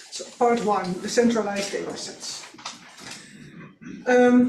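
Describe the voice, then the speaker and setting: A woman speaking very slowly at a fairly high pitch, with audible room echo and noticeable background noise. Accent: Dutch. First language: Dutch. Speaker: archaeologist. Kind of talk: conference presentation. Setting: workshop audience. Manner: reading from script; hesitant.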